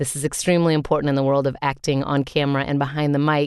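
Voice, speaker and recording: Against a quiet background, a woman talks with a very deep, low pitch. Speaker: voice actor. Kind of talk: reading aloud.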